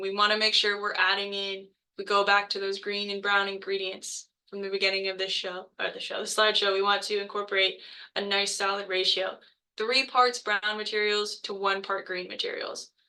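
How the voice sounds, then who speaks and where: The speech moves at a fairly quick pace with a bright, sharp tone and monotone, flat intonation. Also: woman. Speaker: botanical garden educator. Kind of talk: webinar presentation. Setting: video call. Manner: fast; many filler words.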